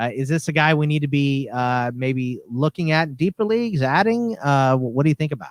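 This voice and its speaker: In an ordinary speaking voice, a man talks with hardly any pauses, using a fairly high pitch and lively intonation. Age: 30s. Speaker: fantasy basketball podcast host. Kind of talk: casual chat.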